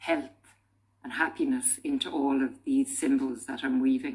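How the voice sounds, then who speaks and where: A woman speaks with an Irish accent and very wide pitch swings. Music plays in the background. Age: 60s. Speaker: tapestry weaver, artist. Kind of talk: documentary interview. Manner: casual, hesitant with fillers.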